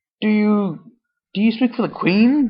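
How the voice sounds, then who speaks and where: In a put-on character voice, a female-sounding speaker talks at a moderate pace with a fairly high pitch. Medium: read story.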